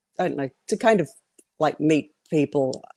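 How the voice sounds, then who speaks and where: With an Australian accent, a woman speaks in a dark, mellow tone at a very deep, low pitch. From Australia (Sydney), moved from Cape Town at age three. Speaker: testimony guest, former model. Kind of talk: testimony interview. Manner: hesitant with many fillers.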